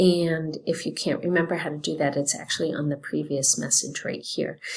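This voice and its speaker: Soft-spoken and fairly quick, a woman talks at a very deep, low pitch in a monotone, flat intonation. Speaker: teacher. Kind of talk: recorded class announcement. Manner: soft-spoken, keeping voice down.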